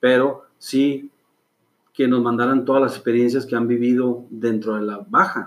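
Here a man speaks at medium pitch and a fairly slow pace. His intonation is monotone and flat. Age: 40s. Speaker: clothing brand founder. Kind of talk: interview. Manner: halting.

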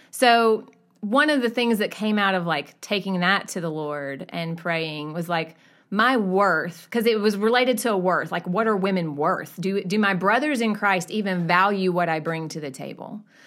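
In a very clean recording with a silent background, a woman with an American accent uses a normal speaking voice of medium pitch at a moderate pace. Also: lively intonation. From US South. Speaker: church member. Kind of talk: casual chat.

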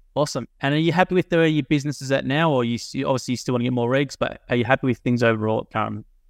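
This man speaks at a medium pitch with ordinary pitch variation. He talks very fast with hardly any pauses against a quiet background. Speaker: podcast host. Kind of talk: casual interview.

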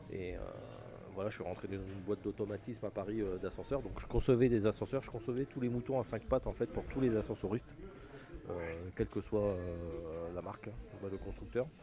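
With a plain, everyday voice, a man talks at a fairly quick pace, his pitch fairly low with ordinary variation. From Picardie, northern France. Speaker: refrigeration technician. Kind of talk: casual chat. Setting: trade show.

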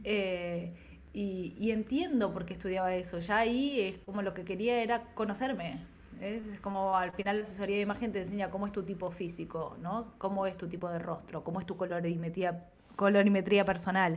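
A woman with an unremarkable speaking voice talks at a fairly quick pace and medium pitch, with fairly even intonation. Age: 40s. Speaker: creativity coach and ceramicist. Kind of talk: casual interview chat.

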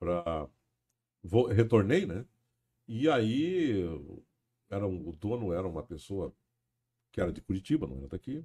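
Using fairly low pitch with very wide pitch swings, a man talks at a fairly slow pace, with long, frequent pauses and big swings in loudness. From Paranaguá, Paraná, southern Brazil. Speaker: radio broadcaster. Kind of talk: casual chat.

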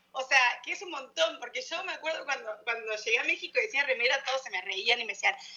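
A woman speaks in a raised, projected voice, high-pitched and with a bright, sharp tone. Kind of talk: casual chat.

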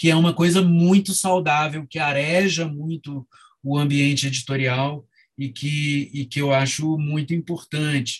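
Here a man talks at a fairly slow pace with fairly even intonation. His voice is somewhat breathy. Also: fairly high pitch for a man. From Rio de Janeiro, Brazil. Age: 50s. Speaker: novelist and book editor. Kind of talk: interview. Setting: video call.

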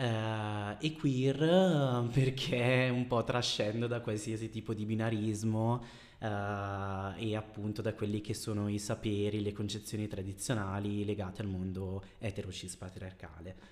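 A man speaks in an ordinary speaking voice at a fairly low pitch. His pace is fairly slow, with ordinary pitch variation. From Bergamo, northern Italy. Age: 30s. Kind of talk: casual interview.

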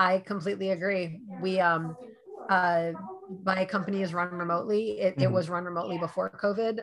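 A woman with an American accent and a plain, everyday voice, medium in pitch, fairly even in intonation, at a fairly quick pace. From New York. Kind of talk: casual interview.

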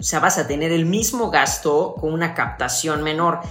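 A woman with a Mexican accent, animated in tone and fairly slow in pace, with audible room echo and music in the background. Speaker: fitness podcast co-host. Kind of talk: casual chat.

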